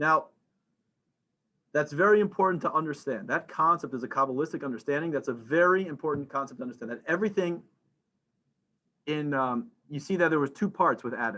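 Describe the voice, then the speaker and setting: Lively intonation and a bright, sharp tone mark this man's fairly high-pitched voice. He moves at a fairly quick pace but leaves long, frequent pauses. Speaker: religious teacher. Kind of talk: lecture. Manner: fast; halting, many fillers.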